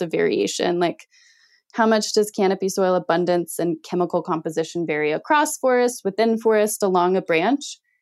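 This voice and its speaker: In an ordinary speaking voice, a woman talks at a medium pitch with lively intonation, on a very clean recording with a silent background. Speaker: ecologist and PhD candidate. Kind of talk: interview about research.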